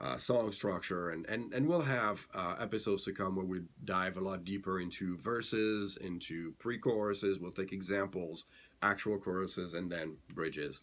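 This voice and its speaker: On a very clean recording with a silent background, a man speaks at a moderate pace in a very deep, low voice with ordinary pitch variation. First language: not English. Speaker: songwriting podcast host. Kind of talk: casual tutorial. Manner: halting, many fillers.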